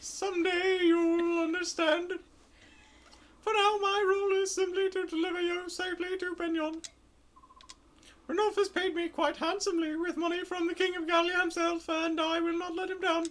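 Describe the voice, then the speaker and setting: In a put-on character voice that is squeaky and extremely high in pitch, the speaker talks at a moderate pace with monotone, flat intonation. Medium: actual play. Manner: measured, sagelike.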